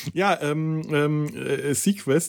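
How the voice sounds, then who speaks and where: Somewhat breathy, this man's voice sits at a fairly high pitch. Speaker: podcast host. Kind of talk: casual chat. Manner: halting.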